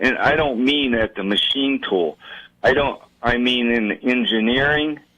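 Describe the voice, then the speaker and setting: This man talks at a very slow pace. His pitch sits in the middle range, and his intonation is lively. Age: 70s. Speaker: veteran tool and die programmer, former shop owner. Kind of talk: radio interview. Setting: radio studio. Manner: halting, many fillers.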